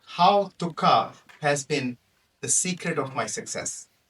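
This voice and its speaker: The man's voice has a bright, sharp tone. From Pakistan. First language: Punjabi. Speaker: toastmaster speaker, physician. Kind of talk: prepared humorous speech.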